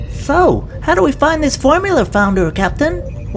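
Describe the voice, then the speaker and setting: In a cartoonish character voice, a female-sounding voice speaks at a high pitch and a moderate pace over clear background noise. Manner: deadpan, literal.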